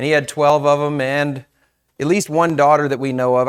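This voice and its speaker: Here a man has an unremarkable speaking voice, talking at a fairly quick pace with a fairly high pitch and fairly even intonation. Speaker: pastor. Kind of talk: sermon. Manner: casual, conversational.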